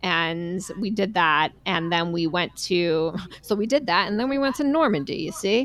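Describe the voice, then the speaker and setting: With a New York accent, a woman speaks at a moderate pace in a medium pitch, her intonation lively. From New York, Long Island. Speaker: podcast host. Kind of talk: casual chat. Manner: animated.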